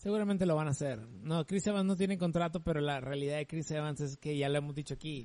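At a very fast pace, the voice carries a dark, mellow tone. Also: man, fairly high pitch for a man, ordinary pitch variation. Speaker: podcast co-host. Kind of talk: casual chat. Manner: animated.

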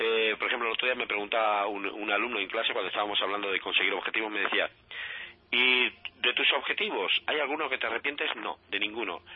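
A man of medium pitch talks at a very fast pace with ordinary pitch variation. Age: 50s. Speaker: life coach. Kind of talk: radio interview.

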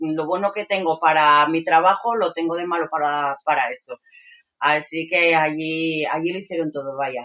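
A woman speaks in a plain, everyday voice, fairly low-pitched, at a moderate pace with fairly even intonation. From Asturias, Spain. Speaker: market stall vendor living in a truck camper. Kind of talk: casual interview.

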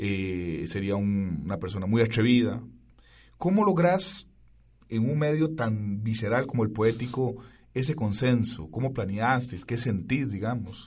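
Somewhat breathy, a man speaks at a fairly slow pace with lively intonation, and audible room echo surrounds him. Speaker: radio host. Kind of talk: radio interview.

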